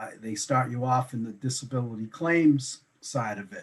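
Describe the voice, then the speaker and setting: This voice carries a slight Boston accent and moves at a fairly slow pace. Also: man. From Boston, Massachusetts. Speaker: insurance broker. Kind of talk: interview. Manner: halting.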